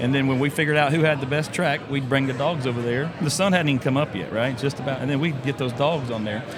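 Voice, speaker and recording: With a Southern US accent, a man talks at a very fast pace with hardly any pauses, a fairly high pitch and fairly even intonation, amid noticeable background noise and audible room echo. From Florida (Brooksville). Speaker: podcast host. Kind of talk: casual chat. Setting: convention show floor.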